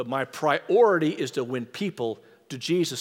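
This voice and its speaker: An ordinary speaking voice, a man's fairly high pitch with lively intonation at a moderate pace. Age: 60s. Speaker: former mayor and speaker. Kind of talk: sermon. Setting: stage with audience.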